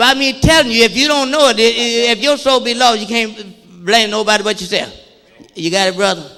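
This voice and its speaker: Over noticeable background noise, a man with an extremely high pitch speaks at a fairly quick pace in a raised, projected voice. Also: ordinary pitch variation. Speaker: pastor. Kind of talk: sermon. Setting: church. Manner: fast; animated.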